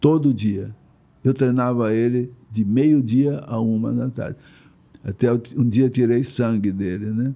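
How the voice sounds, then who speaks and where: A man speaks at a fairly slow pace in a dark, mellow tone. His intonation stays fairly even. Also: medium pitch for a man. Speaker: yoga and martial arts master. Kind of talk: interview. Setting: at host's home.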